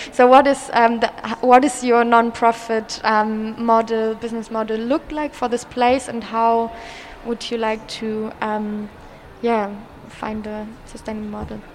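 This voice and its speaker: Against noticeable background noise, a woman with a German accent speaks fairly slowly at a fairly high pitch, her intonation monotone and flat while her loudness swings widely. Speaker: community radio host. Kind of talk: casual interview. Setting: live broadcast in an exhibition hall.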